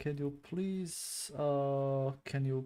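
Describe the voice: A man's medium-pitched, dark, mellow voice with fairly even intonation and a non-native accent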